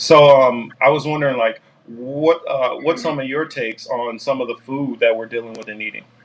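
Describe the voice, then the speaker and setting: Loudness swings widely while the intonation stays fairly even at a moderate pace. Noticeable background noise is present. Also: man, medium pitch for a man. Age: 40s. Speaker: podcast host. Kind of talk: casual chat. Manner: halting, many fillers.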